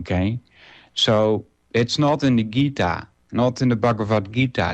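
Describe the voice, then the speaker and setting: Against a quiet background, a man with a non-native accent speaks very slowly at a medium pitch, his intonation lively. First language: Dutch. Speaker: radio host. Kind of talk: casual monologue. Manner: halting, many fillers.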